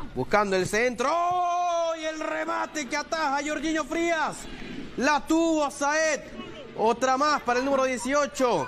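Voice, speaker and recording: A man speaks at a very slow pace in an extremely high pitch. Crowd noise can be heard in the background. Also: ordinary pitch variation. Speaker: football commentator. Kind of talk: live football commentary.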